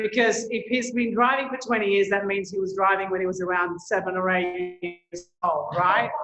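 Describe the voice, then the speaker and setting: With music in the background, a woman in an Australian accent speaks at a moderate pace and medium pitch, showing ordinary pitch variation and hardly any pauses. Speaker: tour operator. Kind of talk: presentation.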